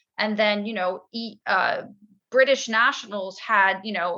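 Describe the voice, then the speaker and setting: A woman with an American accent and an unremarkable speaking voice. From United States. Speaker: podcast guest, emigrant. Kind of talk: casual chat.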